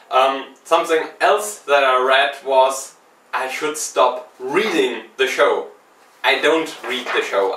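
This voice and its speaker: A man talks fairly slowly, with noticeable noise in the background. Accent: non-native. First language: not English. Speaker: video game podcast host. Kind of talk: unedited solo vlog commentary. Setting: speaking to camera. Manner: halting, with ums and long pauses.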